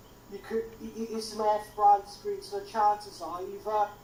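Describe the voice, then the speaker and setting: With noticeable background noise behind her, a woman speaks at a moderate pace in a fairly high pitch. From Wales. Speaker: tech helper in live stream. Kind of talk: casual tech troubleshooting chat.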